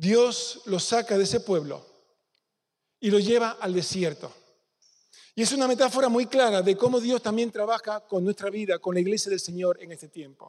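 A man talks in a high pitch, with big swings in loudness. Long pauses come often. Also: ordinary pitch variation, moderate pace. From Spain, Córdoba province (Peñarroya). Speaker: pastor. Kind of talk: sermon.

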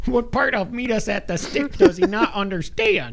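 A man's put-on character voice at a high pitch and moderate pace, with clear background noise. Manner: irritated, gruff.

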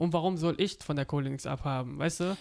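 Words pour out at a very fast pace. Behind them is a silent background on a very clean recording. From Offenburg, Baden, Germany. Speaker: podcast host. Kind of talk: casual chat. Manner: halting.

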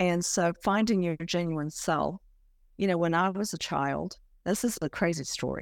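The recording is very clean with a silent background as a woman speaks at a moderate pace, her fairly low pitch showing ordinary pitch variation. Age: 60s. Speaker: author. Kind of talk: casual interview chat.

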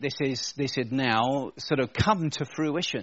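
The speaker has an English accent. The pitch varies in an ordinary way. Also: man. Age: 50s. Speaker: pastor. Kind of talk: sermon. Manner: casual, conversational.

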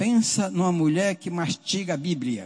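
A man with a high voice speaks fairly slowly, his pitch swinging very widely. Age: 70s. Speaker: lay church leader. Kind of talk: sermon.

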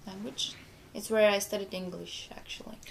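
A woman with a Bulgarian accent. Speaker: exchange student. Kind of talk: casual chat.

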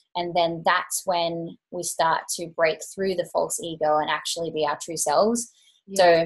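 In a normal speaking voice, a woman talks at a fairly slow pace with a fairly low pitch and fairly even intonation. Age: 30s. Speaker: Ayurveda practitioner and teacher. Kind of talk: interview.

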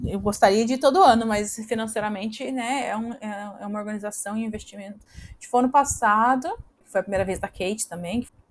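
A woman speaks at a fairly high pitch with fairly even intonation. Her loudness swings widely. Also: fairly quick pace. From southern Brazil, Paraná (Campo Largo near Curitiba). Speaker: Brazilian immigrant in Australia. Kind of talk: casual interview. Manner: halting, repeats words.

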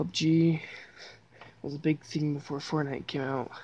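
Her voice very deep and low, a woman speaks fairly slowly with a dark, mellow tone. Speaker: gaming streamer. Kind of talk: casual solo commentary. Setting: lying on the floor at home. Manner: halting, many fillers; stutter.

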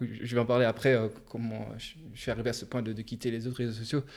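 A normal speaking voice at a fairly quick pace. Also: man. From Luxembourg. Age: 20s. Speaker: psychology student and podcaster. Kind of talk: casual interview.

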